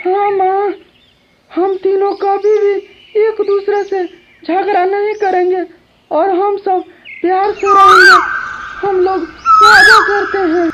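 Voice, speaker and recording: This cartoonish character voice is extremely high-pitched, flat and monotone. It moves at a fairly slow pace with long, frequent pauses. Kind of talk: children's cartoon story narration.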